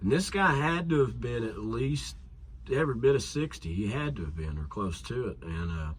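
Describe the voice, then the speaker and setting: Somewhat breathy, a man with an American accent talks at fairly low pitch and a moderate pace. His pitch swings very widely, and the room echo is audible. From Kentucky (Somerset). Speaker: musician / songwriter. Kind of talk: casual interview chat.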